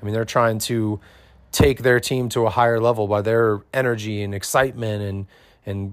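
Heard in a very clean recording with a silent background, a man uses a normal speaking voice at medium pitch, moderate pace and fairly even intonation. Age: 40s. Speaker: CrossFit head coach and podcast host. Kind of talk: solo podcast monologue. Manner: casual with frequent fillers.

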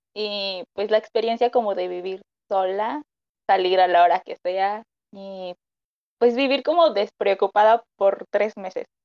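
A woman speaks at a medium pitch with ordinary variation. Her pace is fairly slow. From Mexico. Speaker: nutrition student. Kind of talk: casual chat.

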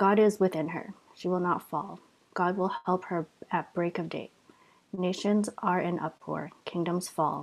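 This woman has an unremarkable speaking voice, fairly low in pitch. She talks at a fairly slow pace with fairly even intonation. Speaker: scripture reader. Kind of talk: reading aloud.

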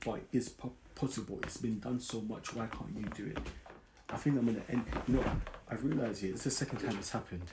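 At a very fast pace, a man talks with ordinary pitch variation and vocal fry. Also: medium pitch for a man. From South London. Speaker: podcast host. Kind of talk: casual solo podcast monologue.

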